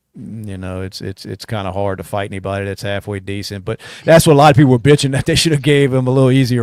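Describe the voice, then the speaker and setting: At a very fast pace with hardly any pauses, a man with an American accent speaks at a medium pitch, his loudness swinging widely. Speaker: podcast host. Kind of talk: casual chat. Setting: studio.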